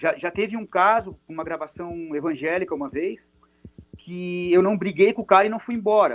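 A man's high-pitched voice at a fairly quick pace, with ordinary pitch variation and a dry, close sound with no echo. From Brazil, Araranguá (Santa Catarina). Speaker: drummer and percussionist. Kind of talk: casual chat.

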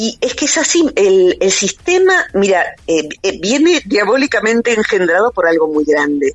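With a Rioplatense accent, a woman speaks fairly slowly in a fairly high voice whose pitch swings very widely. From Buenos Aires, Argentina. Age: 50s. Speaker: psychologist and author. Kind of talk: interview.

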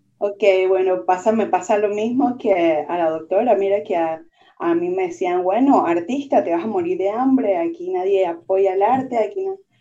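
A woman with a plain, everyday voice, medium pitch, lively intonation and moderate pace. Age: 30s. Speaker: merchant marine graduate and nightclub worker. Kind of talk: casual interview chat.

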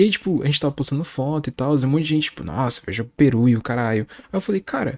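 A man's fairly high, animated voice at a fairly quick pace, the sound dry and close with no echo. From Brazil, São Paulo. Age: 20s. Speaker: podcast host. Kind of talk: casual chat. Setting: remote recording.

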